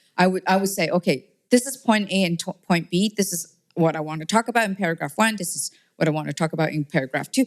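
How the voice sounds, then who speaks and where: The recording is dry and close, without echo. A woman speaks very fast. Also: fairly low pitch for a woman, ordinary pitch variation. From Hong Kong. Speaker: tech entrepreneur and venture investor. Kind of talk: interview. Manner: hesitant, many fillers.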